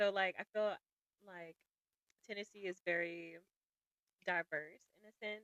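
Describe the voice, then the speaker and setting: A woman with a Southern US accent speaks fairly slowly at medium pitch, with fairly even intonation and long, frequent pauses. Her loudness swings a lot, and the sound is dry and close with no echo. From US South, Jackson, Mississippi. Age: 30s. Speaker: podcast guest. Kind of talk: casual interview chat.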